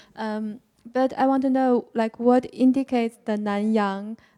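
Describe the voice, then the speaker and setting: Her fairly high pitch pairs with a dark, mellow tone as this woman speaks at a fairly slow pace. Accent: Chinese. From China. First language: Chinese. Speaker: audience member, tourist. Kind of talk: audience question. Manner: halting.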